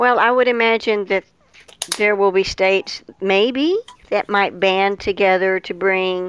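A woman's normal speaking voice at a medium pitch, ordinary pitch variation and a moderate pace against a quiet background. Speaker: podcast panelist. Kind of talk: casual chat.

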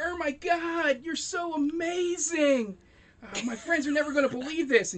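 The speaker puts on a character voice with a high pitch. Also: moderate pace. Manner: gushing, excited.

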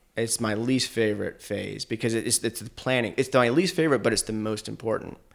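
A man with an American accent speaks at a fairly quick pace with hardly any pauses, his medium-pitched voice showing vocal fry and ordinary pitch variation. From Asheville, North Carolina. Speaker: filmmaker. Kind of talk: casual interview chat.

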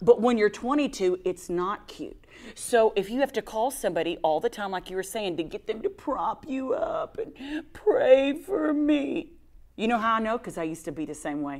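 Animated in tone, a woman speaks at a fairly high pitch with very wide pitch swings. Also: moderate pace. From Texas. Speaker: evangelist. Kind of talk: casual chat. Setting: studio.

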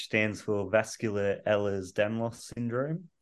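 Spoken with an Australian accent and fairly even intonation, the voice sits against a quiet background. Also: man. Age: 30s. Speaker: patient with rare illness. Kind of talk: interview.

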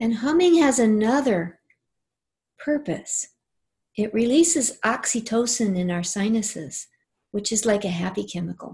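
A woman speaks with a fairly high pitch and a dark, mellow, somewhat breathy, soothing tone. She leaves long, frequent pauses against a quiet background. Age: 60s. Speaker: angel teacher and author. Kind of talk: casual interview chat; guided meditation, heart-centred breathing and visualisation led in second person. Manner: warm, unhurried; slow, soothing, gently paced instructions.

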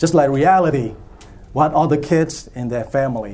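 Using a plain, everyday voice, a man speaks with ordinary pitch variation and keeps a moderate pace. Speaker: church technology workshop presenter. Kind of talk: conference breakout session talk. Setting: stage with audience.

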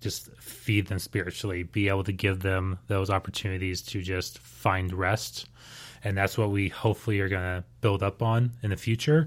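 In a fairly low pitch and at a fairly slow pace, a man with an American accent and an ordinary speaking voice talks with fairly even intonation. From Houston, Texas. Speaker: missionary. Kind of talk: testimony.

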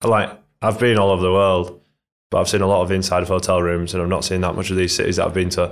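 Very fast and monotone, with flat intonation, a man speaks in a very deep, low voice with a Yorkshire accent. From northern England, Leeds. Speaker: professional triathlete. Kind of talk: casual interview.

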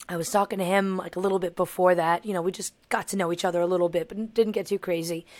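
Speaking with a New York accent, a woman talks at a very fast pace. Her pitch is medium and her intonation is monotone and flat. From New York, Long Island. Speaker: singer and voice teacher. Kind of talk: casual chat.

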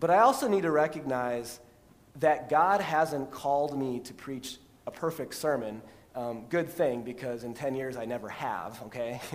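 At a moderate pace, a man with an ordinary speaking voice talks at a medium pitch with ordinary pitch variation and big swings in loudness. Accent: American. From Texas, then US Midwest from age 12. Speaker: pastor. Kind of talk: sermon. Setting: church. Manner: conversational, many fillers (um, repeated words).

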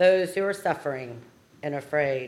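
Lively intonation runs through a woman's plain, everyday voice. She speaks at a fairly slow pace. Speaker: prayer leader. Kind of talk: fervent solemn prayer at a vigil service. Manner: earnest, grieving, tender; measured, liturgical cadence.

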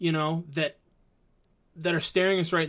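A man with a fairly high pitch talks in an ordinary speaking voice. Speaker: co-host. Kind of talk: casual chat. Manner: jokey, banter.

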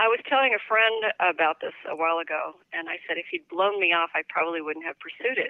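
A plain, everyday voice: a woman at medium pitch, fairly quick, with lively intonation. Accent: American. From Northern California. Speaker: true crime and mystery author. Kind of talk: casual interview.

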